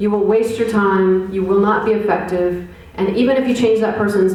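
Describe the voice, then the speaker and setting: In a room with audible echo and noticeable background noise, a woman speaks at a moderate pace in a flat, monotone delivery. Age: 40s. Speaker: poet and activist giving a talk. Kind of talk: public lecture. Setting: college lecture hall with audience. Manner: conversational with fillers.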